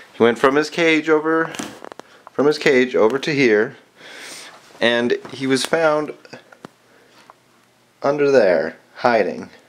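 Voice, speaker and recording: Background noise is noticeable throughout. The talking is very slow, broken by long, frequent pauses. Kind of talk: casual talk while filming pet. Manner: heavy breathing, sniffles.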